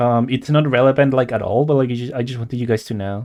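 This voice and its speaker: A man mumbling at a very fast pace, dark and mellow in tone, with lively intonation over a quiet background. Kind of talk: casual live-stream chat while drawing. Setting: live stream. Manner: halting, stammering.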